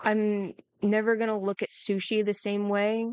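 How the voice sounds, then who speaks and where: A woman's medium-pitched voice, dry and close with no echo. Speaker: content creator. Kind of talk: personal vlog. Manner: halting.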